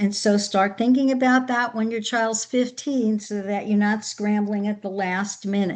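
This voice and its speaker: A woman speaks in an ordinary speaking voice, fairly high in pitch, at a moderate pace with ordinary pitch variation. The background is quiet. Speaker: education consultant and behavior analyst. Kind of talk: webinar presentation.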